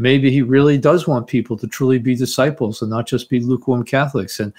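An ordinary speaking voice with an American accent moves at a fairly quick pace. Its pitch varies in an ordinary way against a quiet background. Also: man. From US Northeast (Teaneck, New Jersey). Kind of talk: interview.

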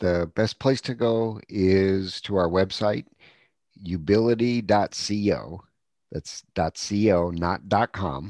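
A man's fairly low voice at a very slow pace, ordinary pitch variation, dry and close with no echo, over a quiet background. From Wisconsin, US Upper Midwest. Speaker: coach and speaker, entrepreneur. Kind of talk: casual interview chat.

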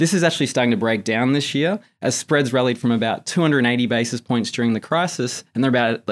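The very clean recording with a silent background captures a man at medium pitch, with an American accent, a fairly quick pace and ordinary pitch variation. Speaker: markets salesperson at an investment bank. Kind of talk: interview about financial markets.

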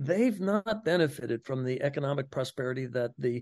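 With an American accent, a man with an ordinary speaking voice and a fairly high pitch talks at a moderate pace with lively intonation, recorded dry and close with no echo. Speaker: public health professor. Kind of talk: radio interview.

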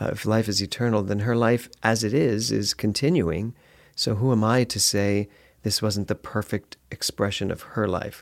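In a very clean recording with a silent background and a dry, close sound with no echo, a man with an ordinary speaking voice talks at a moderate pace, fairly low in pitch, with fairly even intonation. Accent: American. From US Northeast, Philadelphia. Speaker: minister and former stage actor. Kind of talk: interview.

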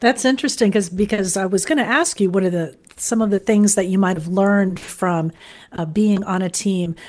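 A woman with an American accent speaks at a fairly quick pace in a normal speaking voice, medium-pitched with ordinary pitch variation, over a quiet background. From Florida, Fort Lauderdale. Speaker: radio program developer and interviewer. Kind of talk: interview, casual chat.

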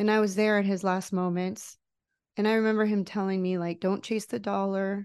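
Against a quiet background, a woman talks at a moderate pace and medium pitch in a monotone, flat intonation. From United States, Mexican-American family. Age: 40s. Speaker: life coach. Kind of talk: interview testimony.

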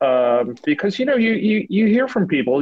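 With an American accent and lively intonation, a man talks at a fairly quick pace in an unremarkable speaking voice. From US Northeast. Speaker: trade magazine editor, guest host. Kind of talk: podcast interview.

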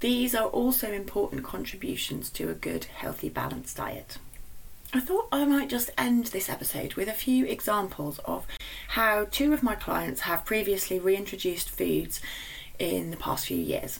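With a British accent, the speaker goes at a moderate pace over noticeable background noise. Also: woman. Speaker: nutritionist podcast host. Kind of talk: solo podcast monologue.

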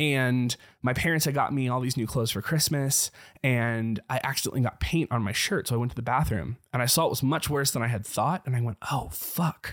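Dry and close with no echo, this very clean recording with a silent background carries a man with a plain, everyday voice at medium pitch and ordinary pitch variation. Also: fairly quick pace, very even loudness. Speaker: former worship leader. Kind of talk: casual chat.

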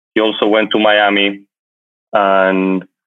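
A man speaks with a Spanish accent. His pitch sits fairly low. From Spain, Madrid. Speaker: luxury travel entrepreneur. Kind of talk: interview.

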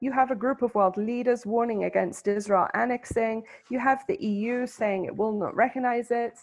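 With a British accent, a woman speaks in a fairly high pitch with ordinary pitch variation. She keeps a moderate pace with hardly any pauses. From England. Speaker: Bible scholar and tour guide. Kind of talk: interview. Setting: remote call from Jerusalem.

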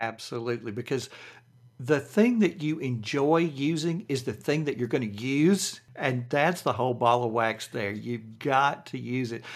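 A man's medium-pitched voice with a Southern US accent, ordinary pitch variation and a moderate pace, on a very clean recording with a silent background. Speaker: productivity coach. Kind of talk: interview.

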